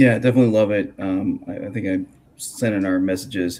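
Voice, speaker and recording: A mumbling man at a moderate pace. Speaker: podcast host and grappling commentator. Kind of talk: casual interview chat. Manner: halting, many fillers.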